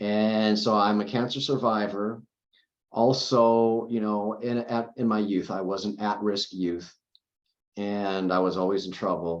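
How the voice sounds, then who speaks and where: At a fairly slow pace, a man with a plain, everyday voice talks with fairly even intonation and a fairly low pitch. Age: 50s. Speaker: cancer survivor and CBD advocate. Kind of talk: interview. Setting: podcast recording.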